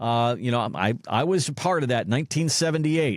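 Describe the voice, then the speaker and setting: A man with a plain, everyday voice talks at a fairly quick pace with lively intonation on a very clean recording with a silent background. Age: 60s. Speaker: podcast co-host. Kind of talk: casual chat.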